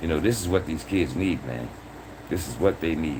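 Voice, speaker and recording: Against noticeable background noise, a man talks in an animated tone at a fairly quick pace. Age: 60s. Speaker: livestream host. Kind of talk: casual livestream talk.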